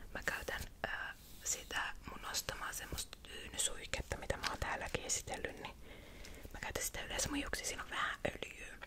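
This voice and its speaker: Whispering fills the clip from a woman. She keeps a moderate pace. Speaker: ASMR creator / vlogger. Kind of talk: casual talk to camera. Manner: chatty, casual. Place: home room. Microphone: studio mic.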